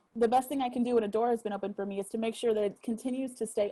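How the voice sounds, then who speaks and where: A woman with an American accent, very fast pace, fairly high pitch, somewhat breathy dark and mellow tone, monotone flat intonation and a dry, close sound with no echo. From Texas (Austin area). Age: 30s. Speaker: musician. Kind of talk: casual chat.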